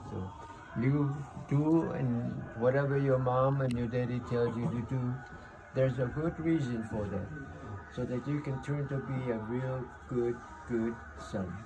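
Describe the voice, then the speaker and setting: A man speaks at a fairly slow pace. Noticeable background noise runs under his voice. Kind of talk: storytelling and advice to a child. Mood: warm, fond, reminiscing. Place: home room. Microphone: phone near.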